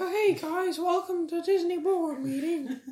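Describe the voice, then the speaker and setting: Pitched extremely high, a put-on character voice speaks at a fairly slow pace. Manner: cheerful, cartoonish.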